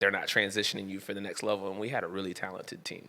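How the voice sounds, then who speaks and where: A man's fairly low voice with a bright, sharp tone and a Southern US accent, on a very clean recording with a silent background. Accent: Southern country inflection. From Florida, Daytona Beach. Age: 30s. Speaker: sports performance coach. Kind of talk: casual interview chat.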